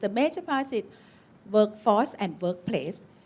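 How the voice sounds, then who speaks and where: Intonation is lively throughout. The speaker has a Thai accent. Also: woman. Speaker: occupational medicine physician. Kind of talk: conference talk. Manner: halting.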